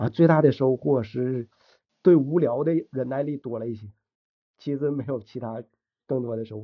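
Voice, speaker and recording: A man with a medium pitch and ordinary pitch variation talks at a moderate pace, pausing long and often, with big swings in loudness. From Shenyang, Liaoning, northeast China. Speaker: programmer and runner. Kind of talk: casual interview chat. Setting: podcast recording.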